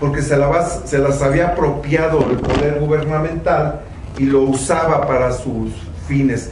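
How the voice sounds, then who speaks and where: Amid noticeable background noise and audible room echo, a man with a Mexican accent talks at a fairly slow pace. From Mexico. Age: 60s. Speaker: theatre veteran. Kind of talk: panel discussion. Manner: halting.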